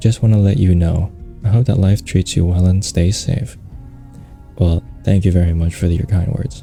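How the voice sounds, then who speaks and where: A man speaks at a moderate pace in a very deep, low pitch. His pitch varies in an ordinary way, with music in the background. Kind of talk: ASMR Q&A, casual talk to camera. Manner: casual, chatty, humorous.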